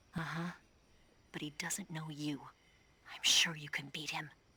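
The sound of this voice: Using a put-on character voice, the speaker goes at a fairly slow pace with little pitch movement, a bright, sharp tone, and a husky, rough edge. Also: woman, low pitch for a woman.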